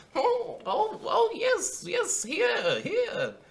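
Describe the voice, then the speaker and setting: The pitch here is extremely high. The voice is a put-on character. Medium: actual play. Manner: stammering, flustered.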